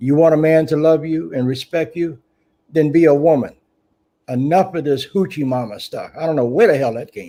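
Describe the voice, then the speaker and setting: This man has a fairly high pitch and a dark, mellow tone, with an American accent. He speaks at a moderate pace with ordinary pitch variation. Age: 70s. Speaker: talk show host. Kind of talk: live talk show discussion. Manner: animated.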